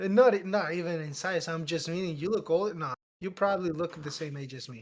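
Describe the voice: A man talks at a fairly quick pace and a fairly high pitch, with ordinary pitch variation.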